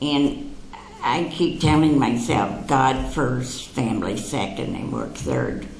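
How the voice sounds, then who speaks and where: A woman speaks very slowly at a very deep, low pitch with ordinary pitch variation, amid noticeable background noise and audible room echo. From Canada (London, Ontario). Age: 80s+. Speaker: psychic speaker. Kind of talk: talk to an audience. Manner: conversational, anecdotal with humor.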